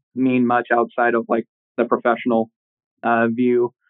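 A man with an American accent and a medium pitch, at a fairly slow pace in a monotone, flat intonation. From Oklahoma. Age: 20s. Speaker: professional wrestler. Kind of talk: interview.

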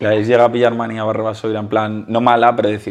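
A fairly low-pitched male voice at a fairly quick pace, over noticeable background noise. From Valencia, Spain. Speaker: youtuber interviewer. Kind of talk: casual interview.

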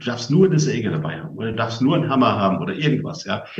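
A somewhat breathy voice with lively intonation carries audible room echo. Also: man. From western Germany (Westerwald). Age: 60s. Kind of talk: talk to a family gathering. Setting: live event with audience, broadcast on radio.

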